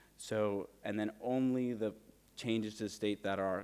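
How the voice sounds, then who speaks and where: The man's voice sits fairly low. His intonation is fairly even. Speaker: conference speaker. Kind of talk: keynote talk. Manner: fast; halting, many fillers.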